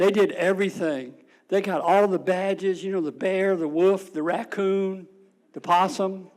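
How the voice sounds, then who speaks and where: A man talks at a fairly slow pace in a high voice. He has a slight Tidewater Virginia accent. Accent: slight Tidewater Virginia Southern. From Suffolk, Virginia. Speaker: storyteller, Navy veteran. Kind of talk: personal storytelling on stage. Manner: folksy, humorous.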